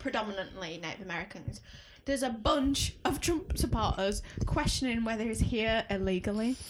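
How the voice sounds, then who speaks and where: With a Leeds accent, a woman speaks in an animated tone with lively intonation and a fairly high pitch. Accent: Leeds, Yorkshire. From Leeds, northern England. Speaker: podcast co-host. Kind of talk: casual chat. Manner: animated, joking.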